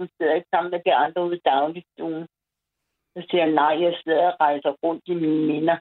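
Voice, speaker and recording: A woman in a monotone, flat intonation. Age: 70s. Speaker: caller. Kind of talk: phone-in chat.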